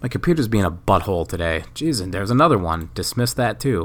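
A man's fairly quick speech with very wide pitch swings and vocal fry. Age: 30s. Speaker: podcaster. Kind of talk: casual chat. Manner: rambling, halting.

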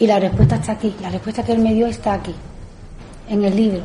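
With audible room echo, a woman speaks fast in a dark, mellow tone and fairly even intonation. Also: medium pitch for a woman.

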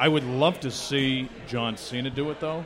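A man with a medium pitch and fairly even intonation is heard over noticeable background noise. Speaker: sports radio personality and PA announcer. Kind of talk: live podcast chat. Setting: bar with live audience.

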